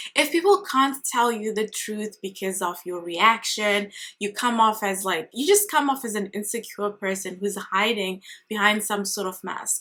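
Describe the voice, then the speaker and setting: A woman with a non-native accent and a fairly high voice, bright, sharp tone, ordinary pitch variation and a moderate pace. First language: not English. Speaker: career coach and recruiter vlogger. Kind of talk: advice vlog monologue. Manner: casual, conversational.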